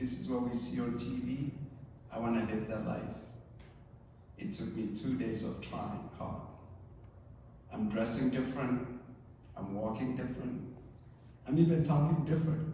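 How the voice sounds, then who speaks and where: A man with a medium-pitched voice talks at a moderate pace with ordinary pitch variation and long, frequent pauses. The recording has noticeable background noise and audible room echo. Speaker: therapist. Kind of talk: testimony.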